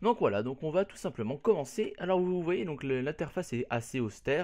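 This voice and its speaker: Against a quiet background, a man with a fairly high voice speaks at a moderate pace. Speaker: YouTuber. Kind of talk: tutorial. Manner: casual, hesitant.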